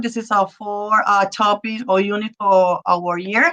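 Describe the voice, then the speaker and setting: This woman has a bright, sharp tone and a medium pitch, speaking fairly slowly with fairly even intonation. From Puerto Rico. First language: Spanish. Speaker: Spanish teacher. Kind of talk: presentation to parents on video call. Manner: halting, many fillers.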